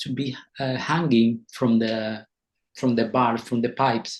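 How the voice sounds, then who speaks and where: A man in a Canarian accent talks at a fairly slow pace. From Canary Islands, Spain. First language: Spanish. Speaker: dancer and choreographer. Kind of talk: interview. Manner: halting, many repetitions.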